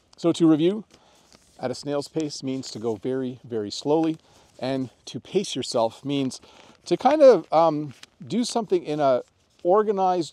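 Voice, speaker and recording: A man with a Canadian accent has a dark, mellow tone and lively intonation, the sound dry with no echo. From Canada. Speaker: English teacher. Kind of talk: tutorial. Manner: casual, friendly. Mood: friendly, relaxed. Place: open country. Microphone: lapel.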